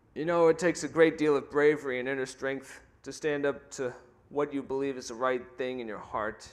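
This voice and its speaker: An ordinary speaking voice from a man with an American accent, fairly high in pitch and fairly quick, with fairly even intonation and big swings in loudness. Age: 30s. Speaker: athlete speaker. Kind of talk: prepared speech. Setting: stage with audience. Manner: formal.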